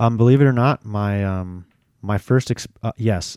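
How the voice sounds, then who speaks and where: A man with an American accent and a dark, mellow tone speaks with ordinary pitch variation on a very clean recording with a silent background. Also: dry, close sound with no echo. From Florida, Dunedin. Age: 30s. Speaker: paratrooper and WWII reenactor. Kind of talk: casual chat. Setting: studio.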